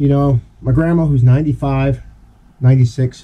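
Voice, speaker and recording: The man talks at a moderate speed. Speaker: shop vlogger. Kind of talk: casual vlog chat and product demo. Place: garage. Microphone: camera far.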